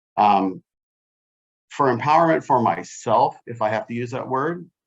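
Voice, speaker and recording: A plain, everyday voice with lively intonation at a moderate pace. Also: man, medium pitch for a man. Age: 60s. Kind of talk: panel discussion. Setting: video call.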